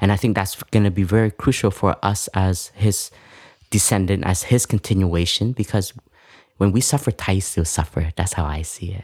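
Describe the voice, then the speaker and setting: A man's fairly low, somewhat breathy voice at a moderate pace with ordinary pitch variation, dry and close with no echo, on a very clean recording with a silent background. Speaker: Buddhist monk and podcast co-host. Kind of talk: conversational interview.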